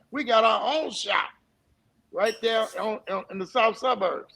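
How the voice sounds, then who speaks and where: With an American accent, a man projects a raised, high-pitched voice with a bright, sharp tone and ordinary pitch variation. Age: 60s. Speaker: sports official and former coach. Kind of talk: interview.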